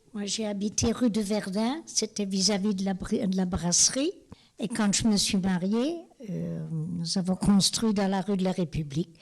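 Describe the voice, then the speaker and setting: A woman talks at medium pitch, somewhat breathy. Her pace is fairly slow, with ordinary pitch variation. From Lorraine, France (Moselle). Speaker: homemaker, evacuation witness. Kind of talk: interview testimony.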